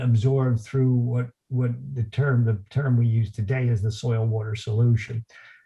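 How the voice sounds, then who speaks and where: A man speaks at a fairly slow pace. His tone is dark and mellow, and somewhat breathy. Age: 60s. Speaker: lawn care company owner. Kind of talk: interview. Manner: halting, many fillers.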